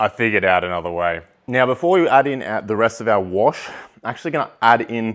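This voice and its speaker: This man has an Australian accent and a fairly low pitch. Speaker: home distilling YouTuber. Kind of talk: tutorial. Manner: casual, conversational.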